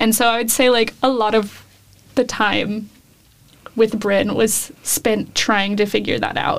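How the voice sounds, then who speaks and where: The speaker has an American accent and a monotone, flat intonation. The loudness stays very even. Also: woman, fairly high pitch for a woman. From Davis, California. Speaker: journalism student and podcast producer. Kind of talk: casual interview.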